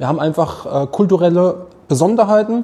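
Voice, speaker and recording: This man's delivery is moderate in tempo, with ordinary pitch variation. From Mannheim, south-western Germany. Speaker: coffee roaster and café owner. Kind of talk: casual interview. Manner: animated.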